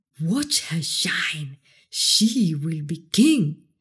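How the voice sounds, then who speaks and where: Somewhat breathy, a woman delivers her lines in an animated, theatrical tone with lively intonation. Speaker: audiobook narrator. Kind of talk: dramatic storybook narration of a fairy tale, read aloud. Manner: animated, theatrical, building tension in the action scenes.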